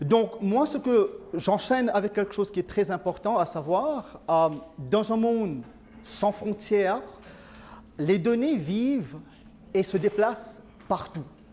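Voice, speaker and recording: A man with a Mauritian accent and a high pitch speaks at a very slow pace with lively intonation and long, frequent pauses. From Mauritius. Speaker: IT consulting director. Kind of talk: conference talk. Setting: conference with audience. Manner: hesitant, many filler sounds.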